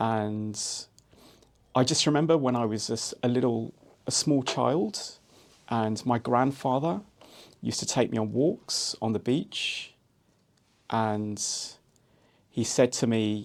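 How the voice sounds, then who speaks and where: With a London accent, a man speaks at a very slow pace with long, frequent pauses, at a medium pitch with ordinary pitch variation. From London, England. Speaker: entrepreneur. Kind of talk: podcast interview. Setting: studio.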